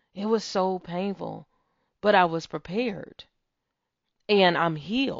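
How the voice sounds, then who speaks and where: At a very slow pace, a woman with a warm tone and ordinary pitch variation talks with long, frequent pauses. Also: medium pitch for a woman. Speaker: podcast host. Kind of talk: faith-based pep talk with guided visualization exercise. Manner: warm, earnest, encouraging; emphatic, affirming, repeating key phrases.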